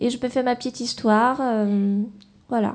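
Her voice is fairly high with a dark, mellow tone, and the woman keeps her intonation fairly even. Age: 20s. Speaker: singer and art student. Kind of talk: radio interview. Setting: studio. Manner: halting.

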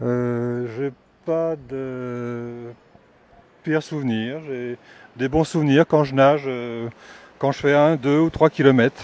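A man talks at a very slow pace with long, frequent pauses and fairly even intonation. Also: medium pitch for a man. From France. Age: 60s. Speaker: retired art teacher. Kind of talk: street interview.

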